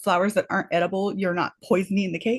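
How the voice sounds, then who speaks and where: A breathy woman talks at a very fast pace with fairly even intonation. The background is quiet. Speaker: podcast co-host and baker. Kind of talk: casual chat. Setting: live stream. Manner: breathy, huffing and puffing; hesitant, many fillers.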